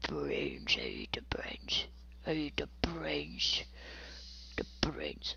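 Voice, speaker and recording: A put-on character voice at a very slow pace, with long, frequent pauses and clear background noise. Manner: groaning.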